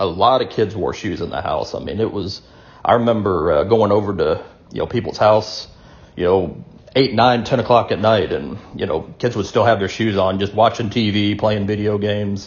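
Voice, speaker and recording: A man in a Southern US accent speaks with a fairly low pitch. His voice is somewhat breathy and his intonation fairly even. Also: moderate pace. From US South. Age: 40s. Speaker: video blogger. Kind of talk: casual monologue. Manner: hesitant, many fillers.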